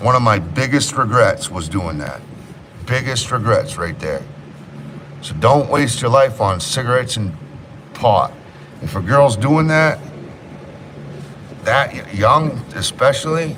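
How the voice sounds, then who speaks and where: Amid noticeable background noise and audible room echo, a man with a New England accent talks at a fairly slow pace in a medium pitch, using lively intonation and long, frequent pauses. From Maine, US (Rockland area). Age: 30s. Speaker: livestreamer and home renovation contractor. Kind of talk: casual livestream chat. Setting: live stream at a renovation job site.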